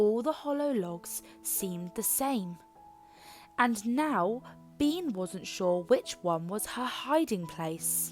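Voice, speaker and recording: A woman speaks very slowly with very wide swings in pitch while music plays in the background. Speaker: children's book reader. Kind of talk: read-aloud bedtime story.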